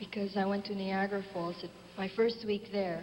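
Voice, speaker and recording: Noticeable background noise and audible room echo surround a woman speaking at a moderate pace. Her medium-pitched voice has monotone, flat intonation. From Philippines. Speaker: beauty pageant contestant. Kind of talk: live pageant interview. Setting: stage with audience.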